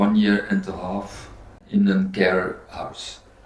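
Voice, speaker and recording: Music in the background and audible room echo accompany a voice with monotone, flat intonation. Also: man. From Belgium. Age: 60s. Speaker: spinal cord injury patient, former sports teacher. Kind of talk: casual chat. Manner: halting.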